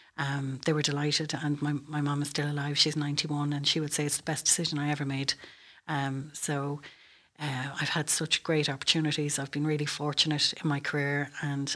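In an Irish Midlands accent, a woman speaks at a fairly quick pace with a very deep, low pitch and monotone, flat intonation, on a very clean recording with a silent background. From Ireland, County Westmeath. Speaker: military officer, air traffic control commander. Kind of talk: interview.

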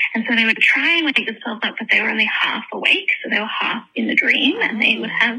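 The speech moves at a fairly quick pace, with noticeable background noise. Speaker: listener caller. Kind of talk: voicemail message. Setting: phone call.

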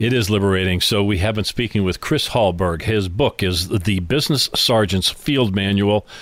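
This man has an unremarkable speaking voice, fairly low in pitch, with ordinary pitch variation, at a moderate pace. His loudness is very even, and the recording is very clean with a silent background. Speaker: podcast host. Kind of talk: interview. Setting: studio.

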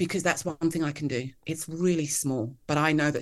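A woman talks at a fairly quick pace in a southern English accent. Her pitch varies in an ordinary way. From England (Kent, Hertfordshire). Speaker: author and leadership coach. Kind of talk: interview conversation.

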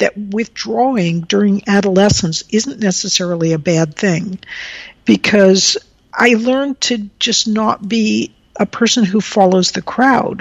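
With an American accent and a normal speaking voice, a woman talks at a fairly slow pace and medium pitch with ordinary pitch variation. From rural Texas, US. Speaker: engineering professor. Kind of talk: casual interview.

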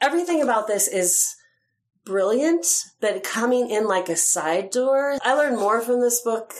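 An ordinary speaking voice, a woman with an American accent, fairly high-pitched, with lively intonation at a moderate pace. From Utah. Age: 50s. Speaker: poet and activist. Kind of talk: casual chat.

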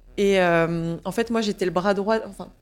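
On a very clean recording with a silent background, a woman speaks at a medium pitch and a fairly slow pace, with fairly even intonation. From northern France, Picardy (Saint-Quentin). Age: 20s. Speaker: yoga and pilates teacher. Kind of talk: casual interview. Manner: hesitant, many fillers and repetitions.

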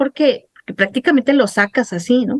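A woman's high-pitched voice at a moderate pace, with ordinary pitch variation and a dry, close sound with no echo. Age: 50s. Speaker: journalist sharing her dental ordeal. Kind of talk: interview testimony.

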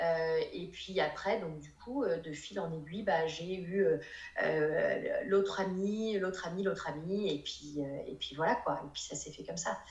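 A woman with a fairly low pitch and ordinary pitch variation has big swings in loudness, with audible room echo and noticeable background noise. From northern France, Lille. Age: 30s. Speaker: interior decorator. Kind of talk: casual interview chat.

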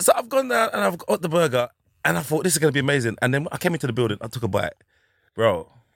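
A man with a North London accent speaks very fast at a fairly high pitch. His pitch swings very widely, with vocal fry. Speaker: comedian. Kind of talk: casual chat.

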